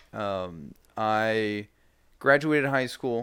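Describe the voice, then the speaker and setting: On a very clean recording with a silent background, a man with an American accent and a fairly low pitch has an unremarkable speaking voice with ordinary pitch variation. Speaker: local entrepreneur. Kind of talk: casual interview.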